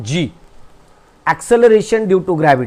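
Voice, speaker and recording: With lively intonation, a man with a non-native accent speaks in a voice that is high for a man. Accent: non-native Hindi. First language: Marathi (speaking Hindi). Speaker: teacher. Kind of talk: lecture.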